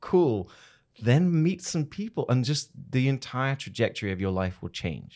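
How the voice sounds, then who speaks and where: Fairly slow speech in an English accent with very wide pitch swings, on a very clean recording over a silent background. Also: man, medium pitch for a man. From England. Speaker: video creator, former model and TV presenter. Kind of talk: interview.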